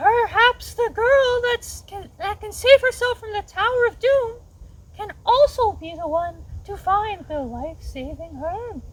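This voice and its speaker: Putting on a character voice, a woman squeaks at an extremely high pitch and a fairly slow pace, with very wide pitch swings and big swings in loudness. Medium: read story. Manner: warm, gentle.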